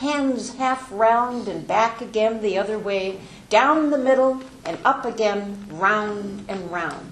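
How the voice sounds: Ordinary pitch variation shapes the natural reading voice heard here.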